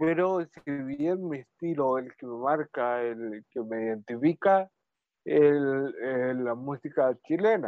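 Here a man speaks at a very slow pace. His pitch is fairly high, with ordinary pitch variation. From Chile, Talcahuano. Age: 30s. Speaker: musician. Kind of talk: radio interview. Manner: halting.

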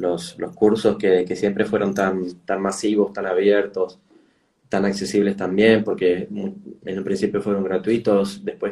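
A man's dark, mellow tone with a Rioplatense accent. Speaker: travel journalist and educator. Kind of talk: interview.

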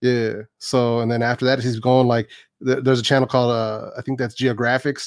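On a very clean recording with a silent background, a man with an American accent speaks at a medium pitch in a monotone, flat intonation. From San Francisco Bay Area, California. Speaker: YouTuber. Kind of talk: casual chat.

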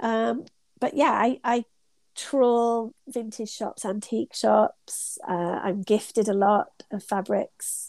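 A woman with a British accent talks at a very slow pace with ordinary pitch variation. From UK. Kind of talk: casual interview chat. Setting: remote call from her studio.

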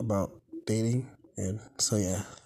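A man speaks in a somewhat breathy voice. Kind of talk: personal vent, solo video diary. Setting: YouTube video. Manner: halting, filler-heavy, low energy.

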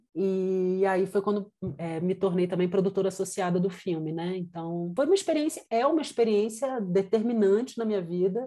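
A woman's dark, mellow tone, with hardly any pauses. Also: medium pitch for a woman, ordinary pitch variation, moderate pace. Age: 40s. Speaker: film director and producer. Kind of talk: interview. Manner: hesitant, many fillers.

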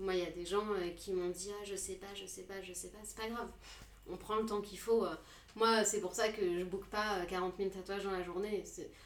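A woman's medium-pitched voice moves at a fairly quick pace, with audible room echo and noticeable background noise. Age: 30s. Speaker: tattoo artist. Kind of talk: casual chat.

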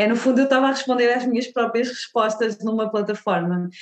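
With a European Portuguese accent, a woman speaks in fairly even intonation. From Portugal. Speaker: diversity consultant and content creator. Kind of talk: interview conversation.

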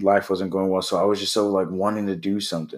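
An American accent comes from a man with a very deep, low pitch. The recording is very clean, with a silent background. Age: 30s. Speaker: podcast host, basketball coach. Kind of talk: solo podcast monologue. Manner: halting, many fillers.

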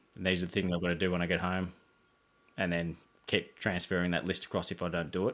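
In a very clean recording with a silent background, a man mumbles at a very fast pace in a very deep, low pitch. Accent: Australian. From Geelong, Victoria, Australia. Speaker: landscape designer and business owner. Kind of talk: casual interview chat. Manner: mumbling, relaxed.

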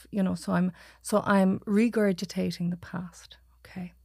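A woman speaks with a west of Ireland accent. Her pace is fairly slow. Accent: west of Ireland Irish. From Ireland, Achill Island, County Mayo. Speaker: psychotherapist. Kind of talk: casual chat. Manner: calm.

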